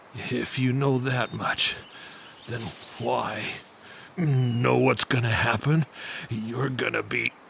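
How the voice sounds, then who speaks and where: A raspy, put-on character voice talks at a very slow pace. Long, frequent pauses sit over clear background noise. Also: man, medium pitch for a man. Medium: fan dub. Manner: gruff, cocky.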